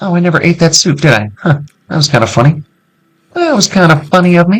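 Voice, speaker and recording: Talking at a very fast pace, a man with a high-pitched voice and an American accent uses lively intonation. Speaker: gaming youtuber. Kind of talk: let's play commentary. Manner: casual, conversational.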